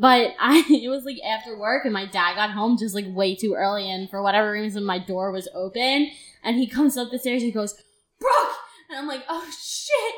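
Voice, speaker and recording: Animated in tone, a woman with a fairly high pitch speaks at a moderate pace with ordinary pitch variation. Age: 20s. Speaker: podcast host and genetic disease researcher. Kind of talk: casual chat.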